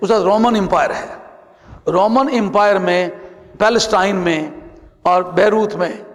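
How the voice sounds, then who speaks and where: A man speaks in a high voice with ordinary pitch variation, over noticeable background noise and audible room echo. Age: 70s. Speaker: Sufi scholar. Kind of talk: religious lecture.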